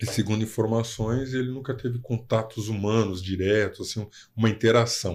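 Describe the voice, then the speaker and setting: In a very clean recording with a silent background, a man with an ordinary speaking voice talks at a medium pitch and a moderate pace, his intonation fairly even. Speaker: podcast host, lawyer. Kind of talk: casual interview chat.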